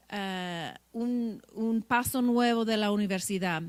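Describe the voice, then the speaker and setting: A woman's fairly high voice, very slow in pace, with ordinary pitch variation. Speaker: law professor. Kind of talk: panel presentation. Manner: halting.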